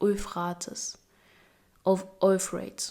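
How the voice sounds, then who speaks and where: A woman with a non-native accent speaks at a very slow pace with fairly even intonation. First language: not English. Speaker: Bible reading video creator. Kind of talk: casual chat; reading aloud. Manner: halting on long names.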